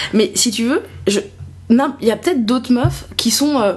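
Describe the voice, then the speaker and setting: A woman speaks in an animated tone at a fairly high pitch with ordinary pitch variation. Noticeable background noise is present. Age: 20s. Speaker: comedian. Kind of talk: casual chat. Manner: halting.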